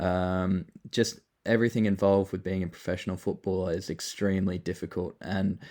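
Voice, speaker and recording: With an Australian accent, a man speaks at a fairly quick pace in a very deep, low voice with a dark, mellow tone and monotone, flat intonation. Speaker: project founder, former pro footballer. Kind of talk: casual online AMA talk. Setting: online voice call. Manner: casual with many fillers.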